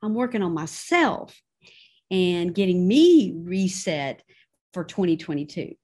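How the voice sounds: In a fairly low pitch, a woman speaks with big pitch swings and a slightly mellow tone.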